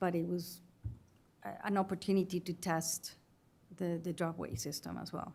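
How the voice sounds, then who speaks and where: With a non-native accent, a woman speaks at a moderate pace and a fairly low pitch, her tone dark and mellow, with vocal fry, ordinary pitch variation and long, frequent pauses. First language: not English. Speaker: witness at investigative hearing. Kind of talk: testimony. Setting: hearing room. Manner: halting.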